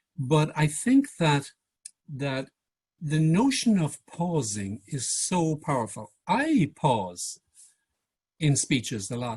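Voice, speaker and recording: A man with a fairly high, somewhat breathy voice speaks very slowly, with very wide pitch swings and long, frequent pauses. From Ireland. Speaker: public speaking coach. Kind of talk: workshop presentation. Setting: video call.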